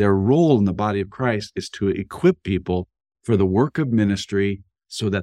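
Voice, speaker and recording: Speaking fairly quickly in an ordinary speaking voice, a man with a fairly low pitch and ordinary pitch variation is heard over a quiet background, the sound dry and close with no echo. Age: 60s. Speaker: university president and pastor-author. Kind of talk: interview conversation.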